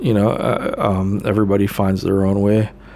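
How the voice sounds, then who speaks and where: Noticeable noise fills the background as the talking proceeds at a moderate pace. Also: man. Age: 40s. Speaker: spiritual vlogger and addiction counselor. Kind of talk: casual live monologue. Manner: hesitant, many fillers.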